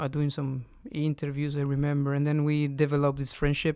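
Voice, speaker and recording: A man speaks in a fairly high voice. The background is quiet and the sound is dry with no echo. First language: Spanish (speaking Romanian). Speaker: guest. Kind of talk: interview. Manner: halting. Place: studio. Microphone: studio mic.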